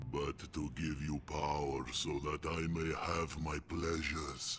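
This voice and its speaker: Using a put-on character voice, a man talks at a fairly slow pace over clear background noise. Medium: video game. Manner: grandiloquent, menacing, theatrical.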